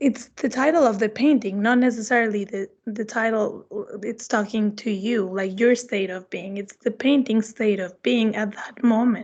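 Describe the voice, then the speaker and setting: A woman with a fairly high pitch speaks in a Spanish accent. Her pace is moderate, her intonation fairly even, with hardly any pauses. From Mexico, Mexico City. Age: 30s. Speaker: visiting artist. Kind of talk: artist talk Q&A.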